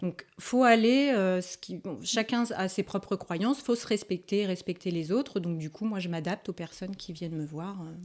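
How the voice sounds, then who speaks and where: In a very clean recording with a silent background, a woman of medium pitch speaks at a moderate pace with hardly any pauses, ordinary pitch variation and big swings in loudness. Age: 40s. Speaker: energy healer and spiritual guide. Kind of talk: interview. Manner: hesitant, many fillers.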